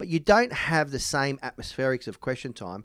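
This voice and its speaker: On a very clean recording with a silent background, a man with an Australian accent talks at medium pitch with lively intonation. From Melbourne, Australia. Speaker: politician. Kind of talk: interview.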